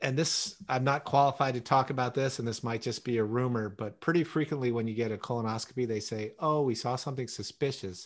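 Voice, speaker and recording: A man talks at a fairly quick pace in a plain, everyday voice, his pitch medium with ordinary variation. The background is quiet. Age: 50s. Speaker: podcast co-host. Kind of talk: casual chat.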